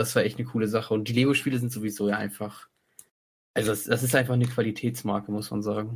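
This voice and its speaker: Very fast, somewhat breathy speech in a monotone, flat intonation. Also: man, medium pitch for a man. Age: 20s. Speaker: podcast co-host. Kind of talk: casual chat.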